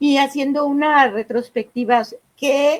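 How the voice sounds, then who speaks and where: This woman talks at a very slow pace. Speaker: talk moderator. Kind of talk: interview questions.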